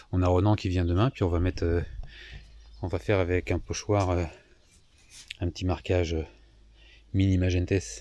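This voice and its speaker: Speaking at a moderate pace with long, frequent pauses, a man uses a very deep, low pitch, a dark, mellow tone and ordinary pitch variation. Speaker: sailing vlogger. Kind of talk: vlog narration. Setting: outdoors at night in a marina. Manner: casual, hesitant; soft-spoken. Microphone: far from the mic.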